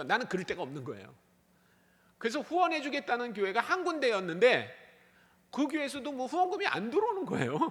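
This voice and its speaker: Fairly quick speech from a man, in a space with audible room echo. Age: 60s. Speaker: missionary. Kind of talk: sermon. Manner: animated.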